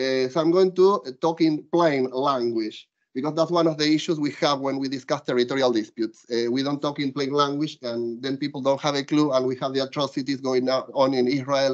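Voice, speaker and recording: Fairly quick speech with an Argentinian accent over a quiet background. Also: man, fairly high pitch for a man, fairly even intonation, hardly any pauses. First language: Spanish. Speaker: law professor. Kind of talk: casual chat; lecture. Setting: stage with audience. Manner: hesitant with filler words. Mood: warm, grateful. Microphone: video call.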